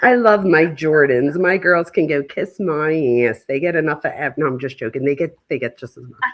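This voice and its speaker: Speaking at a fairly quick pace, a woman with a Philadelphia accent uses a very deep, low voice, an animated tone, lively intonation and big swings in loudness. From Philadelphia, US. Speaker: true crime youtuber and professor. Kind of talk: casual live stream commentary. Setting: live stream.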